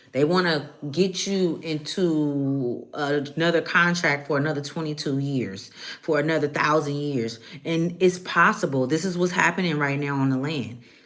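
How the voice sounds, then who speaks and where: Against noticeable background noise and audible room echo, a woman speaks in a very deep, low voice. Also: ordinary pitch variation, moderate pace. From Oakland, California. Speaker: spiritual reader / channeler. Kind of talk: live tarot channeling stream. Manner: casual, profane, conversational.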